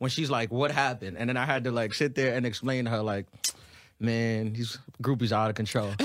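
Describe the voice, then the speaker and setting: Speaking very fast, a man talks in a New York accent. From New York City (Brooklyn and Queens). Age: 30s. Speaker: stand-up comedian. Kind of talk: casual interview chat.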